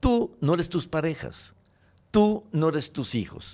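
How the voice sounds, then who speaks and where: On a very clean recording with a silent background, a man with a fairly high voice talks at a very slow pace. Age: 70s. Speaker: educator, creator of a teaching method. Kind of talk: interview. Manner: expressive, affectionate.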